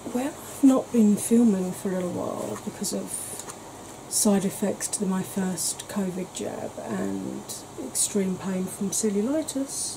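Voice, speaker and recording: Noticeable background noise runs under this recording. A woman speaks at a fairly slow pace with ordinary pitch variation. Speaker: beauty channel host. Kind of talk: casual vlog chat. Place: kitchen.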